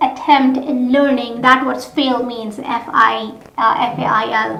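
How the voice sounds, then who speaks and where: Noticeable background noise and audible room echo surround a woman speaking at a high pitch and a fairly slow pace in a flat monotone. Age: young. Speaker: co-host of a talk show. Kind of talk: talk show interview.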